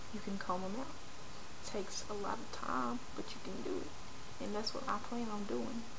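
A woman speaking at a moderate pace, with noticeable background noise. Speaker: video blogger. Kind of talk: personal vlog rant. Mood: frustrated, venting. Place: home room. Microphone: webcam.

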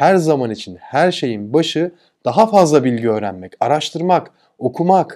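Against a quiet background, a man with a dark, mellow tone speaks at a fairly slow pace with lively intonation. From Turkey. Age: 40s. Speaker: e-commerce entrepreneur and YouTuber; YouTuber. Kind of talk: motivational talk. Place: home room. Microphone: lapel.

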